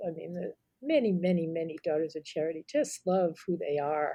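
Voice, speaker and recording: A woman with a dark, mellow tone talks at a moderate pace with ordinary pitch variation. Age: 60s. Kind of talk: casual podcast chat.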